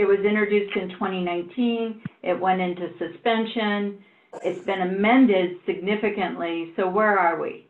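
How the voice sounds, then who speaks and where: At a fairly slow pace and with fairly even intonation, a woman speaks amid audible room echo. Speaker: board member. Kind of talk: public board meeting. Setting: video call. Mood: probing, pointed. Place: home room. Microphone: video call.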